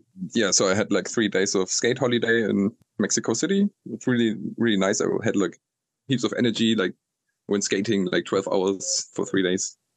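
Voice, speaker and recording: A man speaks with a German accent and ordinary pitch variation. His loudness stays very even. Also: medium pitch for a man, moderate pace. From northern Germany. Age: 30s. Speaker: traveler. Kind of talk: casual chat.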